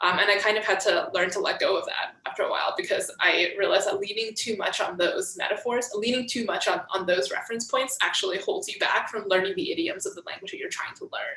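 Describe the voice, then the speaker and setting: Very fast speech from a woman with a Mandarin accent, hardly any pauses, and noticeable background noise. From United States. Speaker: software developer. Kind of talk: casual chat.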